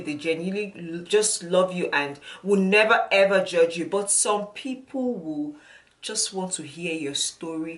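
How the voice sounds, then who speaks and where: Ordinary pitch movement and a moderate pace mark the speech, with noticeable background noise behind it. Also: woman. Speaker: motivational vlogger. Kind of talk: casual talk to camera. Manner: stuttering.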